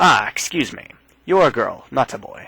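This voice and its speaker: A man's shrill, put-on character voice. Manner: quick, quiet.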